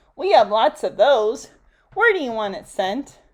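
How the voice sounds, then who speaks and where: Using a put-on character voice, a woman speaks at a fairly high pitch and a moderate pace, with very wide pitch swings and big swings in loudness. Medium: read story. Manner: casual, obliging.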